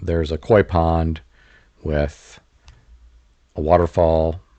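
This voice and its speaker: The man's voice is very deep and low, with a relaxed, calm tone. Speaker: real estate commentator. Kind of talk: home tour voice-over commentary.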